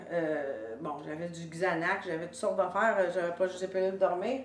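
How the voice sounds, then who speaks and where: A woman speaks with a Quebec accent. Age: 70s. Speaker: author and public speaker. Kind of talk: personal testimony talk to camera. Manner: casual, hesitant with fillers.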